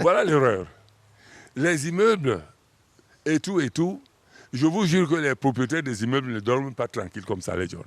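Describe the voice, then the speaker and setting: A man's fairly high voice at a moderate pace, with very wide pitch swings and long, frequent pauses. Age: 60s. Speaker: singer. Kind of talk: interview. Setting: studio.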